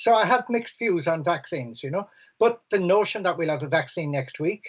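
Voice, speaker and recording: With a Cork accent, a man speaks at a fairly quick pace in a high pitch with very wide pitch swings. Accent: Cork Irish. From Ireland, Cork City. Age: 60s. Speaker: environmental campaigner. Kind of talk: panel discussion. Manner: halting, repeats words.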